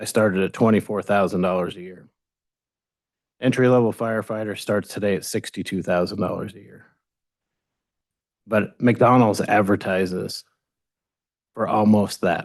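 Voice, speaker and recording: A man with a fairly low pitch speaks at a moderate pace with fairly even intonation, taking long, frequent pauses. His loudness swings widely against a quiet background. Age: 60s. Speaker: fire chief. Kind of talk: town hall Q&A answer.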